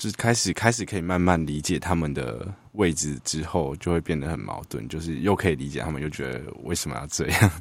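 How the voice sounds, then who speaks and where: A man's very deep, low voice with vocal fry, a fairly quick pace, ordinary pitch variation and a very clean, silent background. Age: 20s. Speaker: psychology graduate student. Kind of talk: casual chat.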